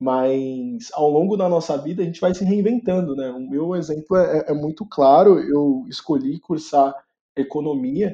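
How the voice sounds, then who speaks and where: Speaking fairly slowly, this man has a fairly high voice with a dark, mellow tone. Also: ordinary pitch variation. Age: 20s. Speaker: career content creator and product manager. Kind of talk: podcast interview. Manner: hesitant with fillers.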